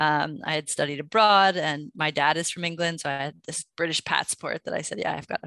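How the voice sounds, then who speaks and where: A bright, sharp tone at a fairly quick pace, with fairly even intonation, hardly any pauses, and a dry, close sound with no echo over a quiet background. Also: woman. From New York City. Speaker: partnerships director at a software company. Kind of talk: casual interview.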